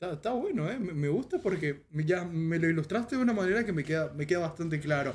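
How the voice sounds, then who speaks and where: A high-pitched man talking at a very fast pace, with ordinary pitch variation and hardly any pauses. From Paraguay. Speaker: podcast host and streamer; podcast host, streamer. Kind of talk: casual interview. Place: home room.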